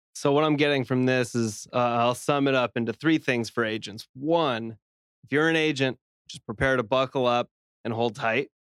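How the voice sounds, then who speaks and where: A man speaks at a medium pitch with an unremarkable speaking voice, at a moderate pace with fairly even intonation. The sound is dry and close, with no echo. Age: 30s. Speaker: podcast producer. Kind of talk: casual chat.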